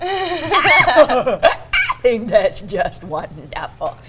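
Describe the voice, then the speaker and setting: A woman speaks over music playing in the background. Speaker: voice actor. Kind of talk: TV interview answer.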